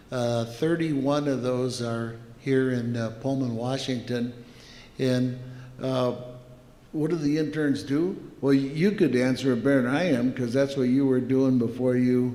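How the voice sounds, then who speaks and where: A man with a medium-pitched voice speaks at a fairly slow pace and with fairly even intonation, and audible echo fills the room. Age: 70s. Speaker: company founder and executive. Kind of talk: interview.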